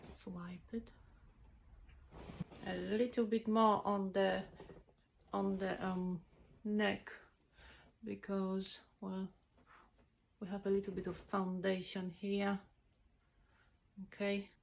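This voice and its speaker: A woman with a non-native accent speaks very slowly at medium pitch, somewhat breathy, in a monotone, flat intonation with long, frequent pauses. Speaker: makeup vlogger. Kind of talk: makeup tutorial. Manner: casual, halting with many fillers.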